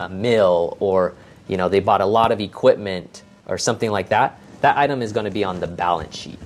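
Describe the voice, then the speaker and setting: A man speaks with an American accent and a plain, everyday voice at a fairly quick pace. His pitch is fairly low, with ordinary pitch variation. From Las Vegas, Nevada. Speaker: accountant. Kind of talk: interview podcast.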